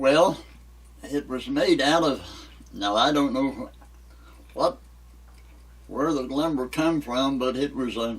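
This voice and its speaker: With an Appalachian accent, a man talks at a very slow pace, leaving long, frequent pauses. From West Virginia. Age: 90s. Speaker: elderly local resident. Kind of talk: interview.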